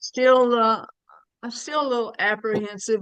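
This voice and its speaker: Recorded dry and close with no echo, a woman speaks with a Southern US accent. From US South, Birmingham, Alabama. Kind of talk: casual chat.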